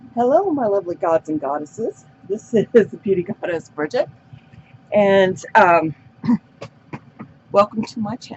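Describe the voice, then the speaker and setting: Through noticeable background noise, a woman speaks at a moderate pace in a medium pitch with lively intonation, big swings in loudness, and long, frequent pauses. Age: 60s. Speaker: beauty vlogger. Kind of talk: casual makeup tutorial chat. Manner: casual, rambling with fillers.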